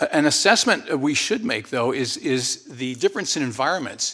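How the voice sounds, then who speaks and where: Bright and sharp in tone, a man speaks very fast with ordinary pitch variation on a very clean recording with a silent background. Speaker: retired general and former diplomat. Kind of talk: formal testimony, conversational. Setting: Senate hearing room.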